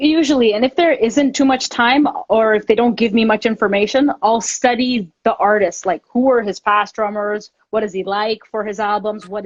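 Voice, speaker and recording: An unremarkable speaking voice from a woman with a Canadian accent, fairly high in pitch with ordinary pitch variation, at a moderate pace with hardly any pauses, in a dry, close sound with no echo. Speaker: drummer. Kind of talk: interview. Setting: Instagram live stream.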